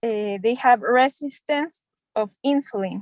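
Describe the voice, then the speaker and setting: With a Spanish accent, a woman talks at a fairly slow pace and a fairly high pitch, using ordinary pitch variation. The sound is dry and close, with no echo. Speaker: doctor in English class. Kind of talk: English practice conversation. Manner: halting.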